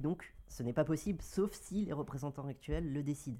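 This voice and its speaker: With a dark, mellow tone, a man speaks at a very fast pace. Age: 20s. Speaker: NGO advocacy worker. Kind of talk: casual chat.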